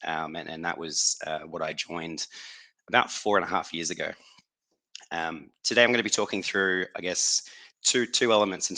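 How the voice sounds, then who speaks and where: Speaking at a fairly quick pace with an Australian accent, a man uses a very deep, low pitch, a bright, sharp tone, ordinary pitch variation and big swings in loudness. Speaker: company executive, operations and HR. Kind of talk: webinar talk. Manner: halting, many repeated words.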